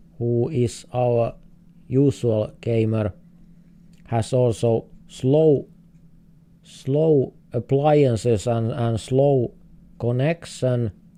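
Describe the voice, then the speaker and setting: Speaking with a Finnish accent, a man with a dark, mellow tone and medium pitch moves at a very slow pace, with ordinary pitch variation and long, frequent pauses. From Finland. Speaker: streamer, game host. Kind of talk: live gaming stream commentary. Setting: live stream. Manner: halting, repeats words.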